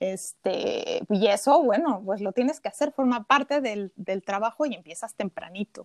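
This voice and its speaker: In a plain, everyday voice, the speaker moves at a fairly slow pace with lively intonation and hardly any pauses, the sound dry and close with no echo. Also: woman, fairly high pitch for a woman. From Mexico City. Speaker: cook. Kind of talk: casual interview.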